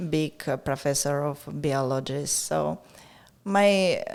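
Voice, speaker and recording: A woman with a very deep, low pitch, ordinary pitch variation and a Russian accent. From Russia, near Moscow. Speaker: art gallery owner. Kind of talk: casual interview. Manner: halting.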